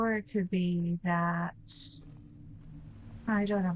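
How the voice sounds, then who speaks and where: Somewhat breathy and mumbling, a woman speaks at a fairly slow pace with a fairly low pitch and fairly even intonation. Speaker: game streamer. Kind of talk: live stream gameplay commentary. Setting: live stream.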